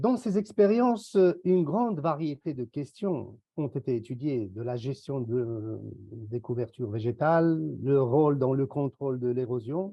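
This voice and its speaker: Fairly slow and at a medium pitch, a man talks with lively intonation. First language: not English (speaks French here) (speaking French). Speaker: university researcher. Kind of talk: conference presentation. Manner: formal.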